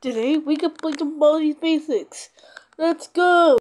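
In a put-on character voice, the speaker talks at a high pitch and a fairly slow pace. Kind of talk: gaming commentary. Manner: excitable.

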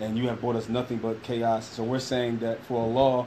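Over noticeable background noise, a man with a Philadelphia accent talks very fast in a monotone, flat intonation. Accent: Philadelphia American English. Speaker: podcast co-host. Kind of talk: interview. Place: classroom. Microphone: phone near.

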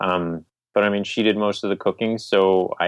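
A man's fairly low-pitched voice, an unremarkable speaking voice, at a moderate pace with fairly even intonation. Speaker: vegan magazine publisher. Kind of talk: interview. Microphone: iPhone earbud mic.

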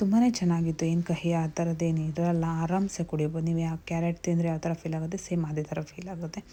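This woman's voice is fairly low. Her tone is dark and mellow. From Mysuru, Karnataka, India. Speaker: cooking and lifestyle vlogger. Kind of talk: vlog narration and cooking tutorial. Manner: animated.

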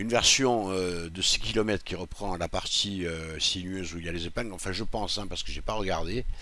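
This man's very deep, low voice has a bright, sharp tone and fairly even intonation. He talks at a fairly quick pace with hardly any pauses, in a dry sound with no echo. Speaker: sim racing youtuber. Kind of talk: casual gaming commentary. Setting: home recording, gameplay voiceover. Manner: informal, chatty, thinking aloud. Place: home room. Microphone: headset.

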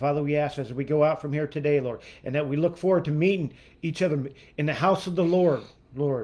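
Fast-moving at a fairly quick pace, a man's dark, mellow voice is fairly high in pitch. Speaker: prayer ministry leader. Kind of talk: livestream prayer and scripture reading; prayer. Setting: live online stream. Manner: jovial, laughing. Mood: earnest, calm. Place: home room. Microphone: phone near.

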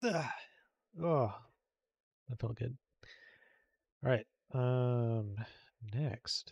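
Somewhat breathy and medium in pitch, a man speaks very slowly with ordinary pitch variation and long, frequent pauses, the sound dry and close with no echo. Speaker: game modder livestreamer. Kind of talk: live stream modding commentary. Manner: casual, hesitant with fillers.

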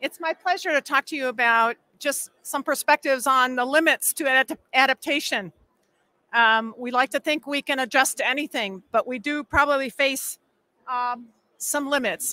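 With a raised, projected voice, a woman speaks at a moderate pace in a bright, sharp tone, her pitch varying normally, the sound dry with no echo. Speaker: presenter. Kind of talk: lecture. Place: hall. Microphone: podium.

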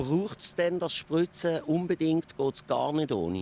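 This man has an ordinary speaking voice, pitched fairly high, with ordinary pitch variation. The sound is dry and close, with no echo. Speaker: fruit farmer explaining spraying technology. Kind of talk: explanatory interview.

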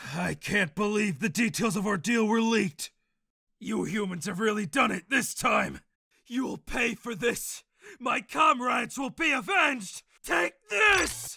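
A man's raised, projected voice, high in pitch with lively intonation, at a fairly slow pace, in a dry, close sound with no echo. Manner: furious, then shocked.

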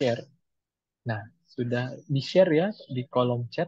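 Somewhat breathy and at a fairly slow pace, a man speaks at a medium pitch, with a dry sound with no echo and a quiet background. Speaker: moderator. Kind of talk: webinar moderation. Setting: video call. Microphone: video call.

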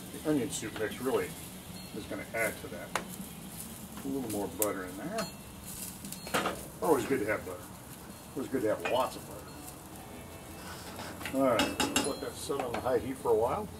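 Loud background noise fills the clip while a man speaks at a fairly quick pace. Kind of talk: cooking tutorial. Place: garden. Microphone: camera far.

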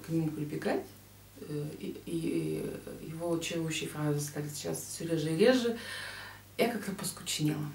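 A woman speaks at a fairly slow pace, with audible room echo around her voice. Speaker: book vlogger. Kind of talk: book review vlog talk. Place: home room. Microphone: webcam.

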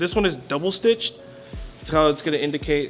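At a fairly quick pace, a man talks while clear music plays behind him. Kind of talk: casual show-and-tell commentary. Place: shop.

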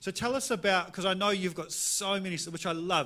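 The speaker has a New Zealand accent. The tone is bright and sharp. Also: man. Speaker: pastor. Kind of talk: interview during church service. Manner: casual, playful. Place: church. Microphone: handheld.

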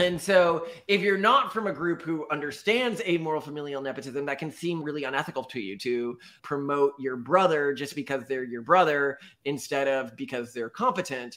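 In a bright, sharp tone, a man with an American accent speaks at a moderate pace and a fairly high pitch over a quiet background. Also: lively intonation. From Texas. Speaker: podcast co-host. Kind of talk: casual chat. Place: home room.

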